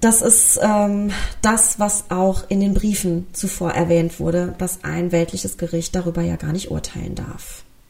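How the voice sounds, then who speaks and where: A woman's fairly slow, fairly even-toned voice over noticeable background noise. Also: medium pitch for a woman. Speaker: true crime podcast host. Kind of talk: solo podcast narration. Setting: home recording with pet.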